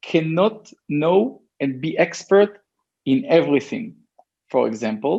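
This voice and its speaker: In an Israeli accent, a man talks at a very slow pace with a dark, mellow tone. His pitch is fairly high and swings very widely. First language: Hebrew. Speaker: e-commerce entrepreneur. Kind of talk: interview. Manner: halting.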